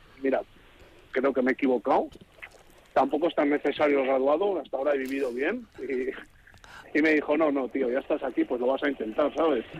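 In a plain, everyday voice, a man speaks at a fairly quick pace with ordinary pitch variation. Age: 30s. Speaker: truck driver and adult student. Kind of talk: radio interview.

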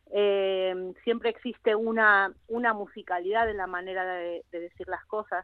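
A woman of medium pitch with an Argentine accent, fairly slow, in a monotone, flat intonation with big swings in loudness. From Argentina. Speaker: actress and singer. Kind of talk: radio interview.

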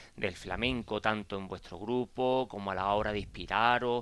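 A man speaks with an Andalusian accent. The recording is very clean, the background silent. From Cádiz, Andalusia. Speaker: radio host. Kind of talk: radio interview.

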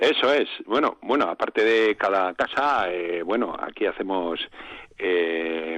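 Lively intonation marks this man's fairly low voice. He speaks at a very slow pace. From Basque Country, Gipuzkoa (Arrasate). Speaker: village council president. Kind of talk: radio interview.

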